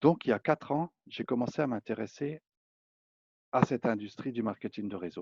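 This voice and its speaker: Long, frequent pauses break up a man's speech at a moderate pace. The sound is dry and close with no echo, over a quiet background. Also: medium pitch for a man, lively intonation. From eastern France. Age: 50s. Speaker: network marketing presenter. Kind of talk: sales pitch. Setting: public online presentation.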